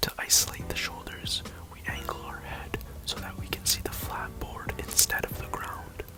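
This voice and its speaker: Over noticeable background noise, a man is whispering at a moderate pace. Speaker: fitness instructor. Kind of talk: ASMR workout tutorial. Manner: whispered; relaxing, soft-spoken.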